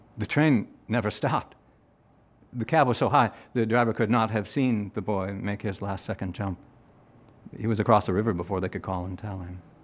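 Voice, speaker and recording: A man talks at a fairly quick pace in a fairly low pitch, with ordinary pitch variation. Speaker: actor performing a monologue. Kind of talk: dramatic monologue. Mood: somber, reflective storytelling. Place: workshop.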